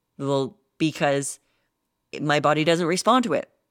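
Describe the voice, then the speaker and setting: A woman's very deep, low voice at a fairly slow pace, animated in tone, on a very clean recording with a silent background and a dry, close sound with no echo. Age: 30s. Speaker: fitness podcast host and coach. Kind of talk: solo podcast monologue.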